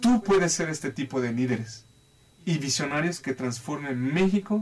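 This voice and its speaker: Lively intonation and a fairly high pitch mark a man who speaks at a fairly slow pace. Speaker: life and financial advisor. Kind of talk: talk show interview.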